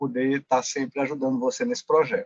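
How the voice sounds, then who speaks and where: With a Pernambuco accent, this man speaks at a fairly high pitch with ordinary pitch variation, and the sound is dry and close with no echo. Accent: Pernambuco accent, marked. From Pernambuco, Brazil. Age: 40s. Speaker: occupational safety engineer. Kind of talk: interview.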